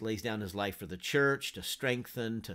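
With an unremarkable speaking voice, a man talks at a fairly low pitch with fairly even intonation against a quiet background. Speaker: Bible teacher. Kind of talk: lecture. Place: home room. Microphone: webcam.

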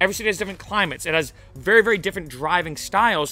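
A very fast, raised and projected male voice, dry with no echo, over faint music in the background. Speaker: rideshare driver vlogger. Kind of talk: casual vlog advice. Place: garden. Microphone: studio mic.

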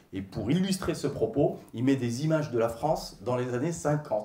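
A man talks at a moderate pace, with room echo audible around him. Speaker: stand-up comedian. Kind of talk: stand-up comedy routine. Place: stage. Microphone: handheld.

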